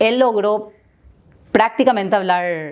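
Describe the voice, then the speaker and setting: Over a quiet background, a woman with a Paraguayan accent talks at medium pitch with ordinary pitch variation. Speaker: business owner. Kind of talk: podcast interview.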